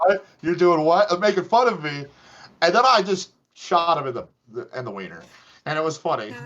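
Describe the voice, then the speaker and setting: With an American accent, a man talks at a fairly quick pace in a high pitch with lively intonation, broken by long, frequent pauses. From US West, Las Vegas, Nevada. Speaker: interview guest, live-action role-play fighter and archer. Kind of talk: casual interview chat. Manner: animated.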